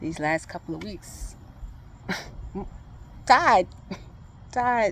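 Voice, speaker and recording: With vocal fry and lively intonation, a woman speaks very slowly in a medium pitch. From Thibodaux, Louisiana. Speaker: emotional recovery facilitator. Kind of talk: casual talk to camera.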